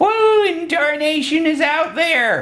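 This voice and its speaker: A man puts on a squeaky character voice at an extremely high pitch. He speaks at a fairly slow pace. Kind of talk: rustic, folksy.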